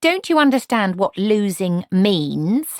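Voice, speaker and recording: In a put-on character voice, a female-sounding speaker talks at a fairly slow pace at medium pitch, on a very clean recording with a silent background. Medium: read story. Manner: imperious, cold.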